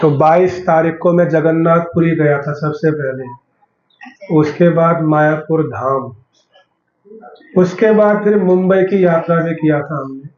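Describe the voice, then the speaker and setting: Very slow speech with fairly even intonation and audible room echo. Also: man, high pitch for a man. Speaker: religious lecturer. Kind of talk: sermon.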